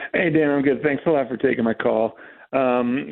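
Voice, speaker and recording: An unremarkable speaking voice with an American accent, fairly even intonation and a fairly quick pace. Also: man. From New Jersey. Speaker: caller, Giants fan. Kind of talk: phone-in radio call. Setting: phone call.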